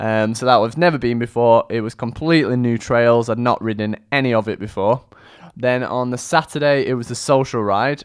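The man talks fairly quickly, his pitch medium and his intonation fairly even. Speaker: podcast host, mountain bike fitness coach. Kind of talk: solo casual talk. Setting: studio microphone. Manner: fast.

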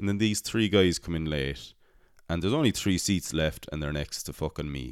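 A man with a very deep, low voice speaks in an Irish accent, animated and with lively intonation. The recording is very clean, with a silent background. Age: 20s. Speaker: podcast host. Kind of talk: casual chat.

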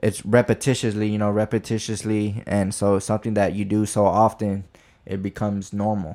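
A man's fairly low, dark, mellow voice with an American accent, at a moderate pace, on a very clean recording with a silent background. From Texas (Midland). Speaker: professional boxer. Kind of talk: casual chat. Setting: in-person podcast recording.

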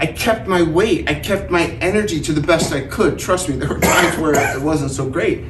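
A man talks at a moderate pace with a high pitch and ordinary pitch variation. He leaves hardly any pauses, over noticeable background noise. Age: 40s. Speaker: cancer survivor speaker. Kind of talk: talk to an audience. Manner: casual, with frequent filler words.

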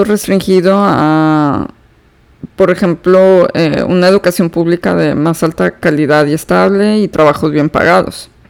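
At a fairly slow pace, a woman speaks with very even loudness and ordinary pitch variation. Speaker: psychotherapist, podcast host. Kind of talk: solo educational talk. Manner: slow, unhurried pace; hesitant, many fillers.

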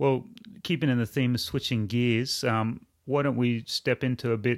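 At a medium pitch and a moderate pace, a man talks with fairly even intonation. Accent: Australian. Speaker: podcast host. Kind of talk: casual interview chat.

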